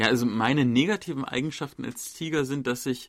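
The recording is very clean with a silent background, carrying an unremarkable speaking voice at a fairly quick pace with ordinary pitch variation. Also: man. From Germany. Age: 30s. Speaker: journalist and podcast host. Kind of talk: casual chat.

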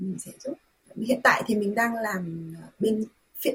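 Somewhat breathy, fairly high female voice with ordinary pitch variation. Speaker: volunteer and interpreter. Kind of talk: radio interview.

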